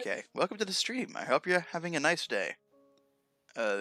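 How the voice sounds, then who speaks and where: Music plays in the background while a man talks at a fairly quick pace. The sound is dry and close, with no echo. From Russia. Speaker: streamer.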